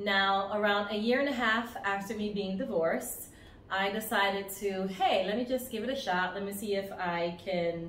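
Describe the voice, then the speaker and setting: A woman speaks at a medium pitch with fairly even intonation. Noticeable background noise and audible room echo fill the recording. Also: moderate pace. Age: 40s. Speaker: lifestyle vlogger. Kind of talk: casual storytelling to camera. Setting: outdoors on vacation by the beach.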